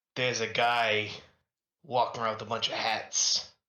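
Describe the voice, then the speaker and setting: Put-on character voice from a man, medium pitch, moderate speed. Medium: actual play.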